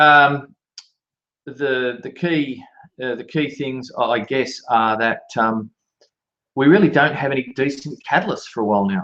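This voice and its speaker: Here a man with an Australian accent speaks at a fairly slow pace. His pitch is fairly high. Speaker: market analyst. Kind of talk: market commentary. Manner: halting, with many fillers.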